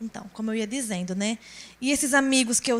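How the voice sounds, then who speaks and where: A woman with a northeastern Brazilian accent and a fairly high pitch. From Brazilian Northeast, Rio Grande do Norte. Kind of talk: testimony.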